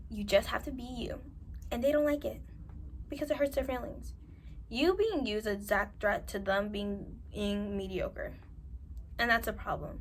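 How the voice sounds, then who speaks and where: A woman in a New York accent, with long, frequent pauses. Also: moderate pace. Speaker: self-improvement vlogger. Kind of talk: advice monologue to camera. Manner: animated.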